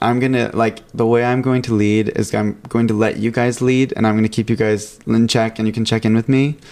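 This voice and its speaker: A man talks at a fairly quick pace and a medium pitch. His loudness is very even. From California. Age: 20s. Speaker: recent college graduate. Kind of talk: casual chat. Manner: animated.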